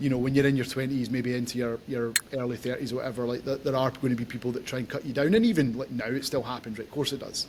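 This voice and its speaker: At a very fast pace with hardly any pauses, a man speaks in a monotone, flat intonation at a medium pitch. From Scotland, Glasgow. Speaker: podcast host. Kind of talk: casual interview chat.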